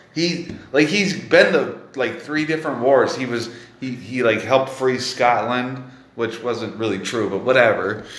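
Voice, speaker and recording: This speaker has an American accent and an animated tone, talking at a fairly slow pace with ordinary pitch variation. Noticeable background noise runs underneath. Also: man. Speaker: comedy podcast host. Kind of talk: casual chat interview. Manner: animated, laughing, casual swearing.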